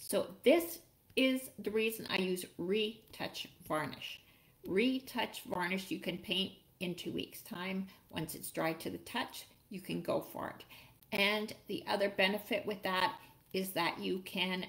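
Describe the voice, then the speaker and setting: A woman at a fairly slow pace, with ordinary pitch variation. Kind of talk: tutorial. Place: home room. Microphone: webcam.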